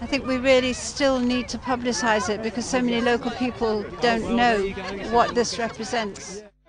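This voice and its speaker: At a moderate pace, a woman with a high pitch speaks in a flat monotone, with audible room echo and crowd noise behind her. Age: 70s. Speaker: veteran environmental protester. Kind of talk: casual outdoor interview.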